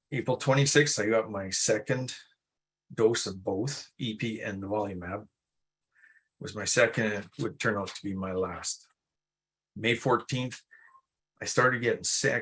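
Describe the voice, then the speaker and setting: Against a quiet background, a man of medium pitch speaks at a moderate pace with ordinary pitch variation and long, frequent pauses. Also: big swings in loudness. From Alberta, Canada. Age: 60s. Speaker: melanoma patient telling his story. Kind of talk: personal patient story told live at a webinar. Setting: live webinar presentation.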